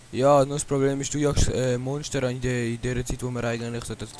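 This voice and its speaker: Over noticeable background noise, a man speaks at a fairly quick pace in a medium-pitched, monotone voice with flat intonation. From Switzerland. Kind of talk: casual gaming commentary.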